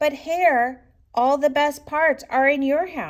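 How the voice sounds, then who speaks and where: The speaker puts on a character voice. The delivery is fairly slow. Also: woman. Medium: read story. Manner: slow, drowsy, grumbling.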